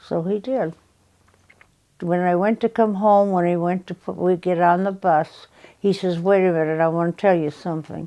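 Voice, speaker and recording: With a dark, mellow tone, a woman speaks at fairly low pitch and a moderate pace, keeping her intonation fairly even. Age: 80s+. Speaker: grandmother telling life stories. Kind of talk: interview storytelling. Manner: halting.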